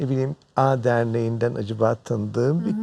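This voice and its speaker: A man speaks with a dark, mellow tone. The sound is dry and close, with no echo. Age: 50s. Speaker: professor of medicine. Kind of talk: TV health show interview.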